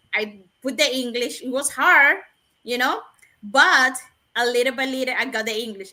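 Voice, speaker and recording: A woman speaks at a moderate pace in a high, raised and projected voice, with a bright, sharp tone and a non-native accent. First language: not English. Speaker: nurse and webinar panelist. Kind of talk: casual panel discussion.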